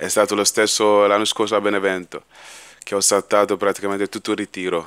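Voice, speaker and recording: A man's fairly low voice at a moderate pace, dry with no echo, over a quiet background. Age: 20s. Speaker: professional footballer. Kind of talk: press conference. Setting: conference room at a stadium. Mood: calm, modest, smiling. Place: meeting room. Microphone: podium.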